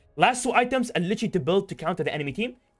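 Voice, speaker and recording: A man's pitch swings very widely while music plays in the background. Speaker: gaming content creator. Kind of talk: tutorial. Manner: fast; halting, many repetitions.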